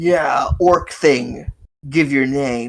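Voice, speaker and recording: This is a put-on character voice. It hisses. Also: man. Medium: actual play. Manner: haughty, disdainful.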